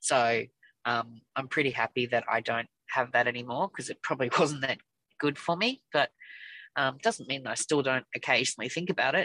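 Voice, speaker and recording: A woman speaks at a moderate pace in a bright, sharp tone, with a dry, close sound and no echo. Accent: Australian. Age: 50s. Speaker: weight loss surgery patient. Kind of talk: casual chat.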